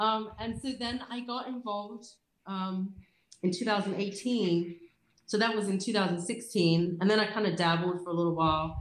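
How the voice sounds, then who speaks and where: Through audible room echo, a woman speaks fairly slowly at a medium pitch with ordinary pitch variation. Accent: Australian. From South Australia, rural farm. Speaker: abstract sand photographer. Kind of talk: casual interview chat. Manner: many filler sounds (um, uh).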